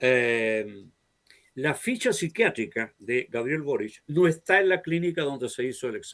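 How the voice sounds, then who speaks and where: The man's intonation is lively. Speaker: talk show host. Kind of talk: political interview chat. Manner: animated.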